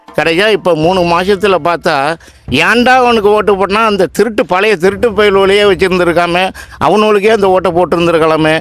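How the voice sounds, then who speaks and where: The man's voice sits high in pitch, with fairly even intonation and very even loudness throughout. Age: 60s. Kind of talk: street interview answer.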